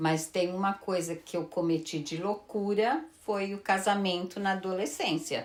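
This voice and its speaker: A woman with a fairly low pitch and ordinary pitch variation talks at a fairly slow pace. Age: 60s. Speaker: retired teacher and pastry cook. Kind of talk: interview. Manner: hesitant.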